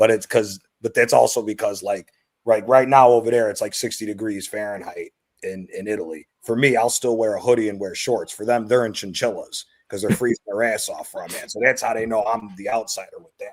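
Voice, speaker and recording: Here is a man with an ordinary speaking voice, a medium pitch and a fairly quick pace. His intonation stays fairly even while his loudness swings widely. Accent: American. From United States. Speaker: football fan panelist. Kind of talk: casual chat.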